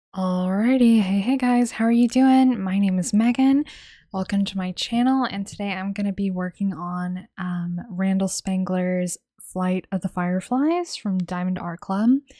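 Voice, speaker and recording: Soft-spoken and somewhat breathy, a woman talks at a medium pitch and moderate pace with ordinary pitch variation and a dark, mellow tone, on a very clean recording with a silent background. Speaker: diamond painting YouTuber. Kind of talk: casual chat while crafting. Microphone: mic held close to face.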